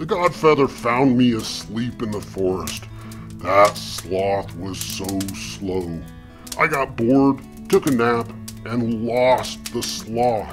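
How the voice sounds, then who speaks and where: Clear music plays in the background as a man does a cartoonish character voice. He speaks at a very slow pace in a fairly low voice. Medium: puppet show. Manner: weary, grumbling, self-pitying.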